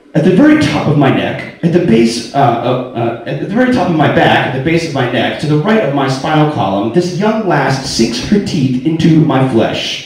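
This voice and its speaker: A man's fairly high voice with an American accent, lively intonation and a moderate pace, over music in the background. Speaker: spoken word performer. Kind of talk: spoken word performance, personal story told to a live audience. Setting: live venue, bar.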